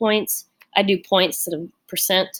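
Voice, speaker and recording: A woman with a plain, everyday voice, medium pitch, and moderate pace. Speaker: college English instructor. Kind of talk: tutorial. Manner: casual, rambling with fillers.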